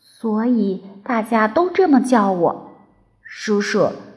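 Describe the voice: With lively intonation, the speaker does plain reading aloud.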